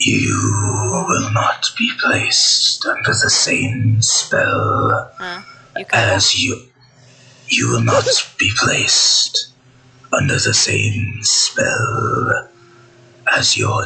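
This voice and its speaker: A growling, put-on character voice at a very slow pace. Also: man. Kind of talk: formal archaic speech. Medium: actual play. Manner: cold, formal, measured.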